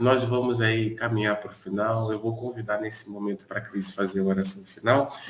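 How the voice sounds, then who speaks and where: A man talks at a fairly quick pace and medium pitch. Background noise is noticeable. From Brazil, Niterói (Rio de Janeiro). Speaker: pastor, live prayer host. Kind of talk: live-stream devotional chat. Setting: live stream from his balcony.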